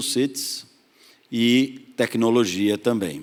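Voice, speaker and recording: Pitch variation in this man's speech is ordinary. His voice sits at a medium pitch. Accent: Pernambuco. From Pernambuco, northeast Brazil. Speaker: investment fund partner. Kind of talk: panel discussion.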